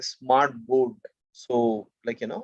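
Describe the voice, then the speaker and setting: A man speaks very slowly in a South Indian accent. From South India, Karnataka. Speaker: teacher. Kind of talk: lecture.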